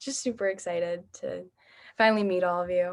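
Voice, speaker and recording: This woman has an American accent and a medium pitch. Her pitch varies in an ordinary way. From US Midwest, Michigan. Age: young. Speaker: missionary trainee. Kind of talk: group introduction, casual.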